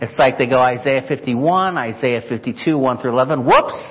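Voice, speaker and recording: Against noticeable background noise, a man with an American accent talks at a moderate pace and medium pitch, with ordinary pitch variation. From Chicago, US Midwest. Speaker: missionary. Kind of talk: sermon. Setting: church.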